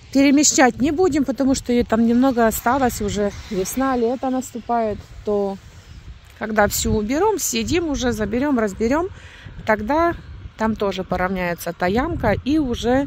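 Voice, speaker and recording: Pausing long and often, a woman talks at a moderate pace in a high pitch with lively intonation, the sound dry with no echo and light background noise. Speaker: rural homestead vlogger. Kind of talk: casual vlog chat. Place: open country. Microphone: phone near.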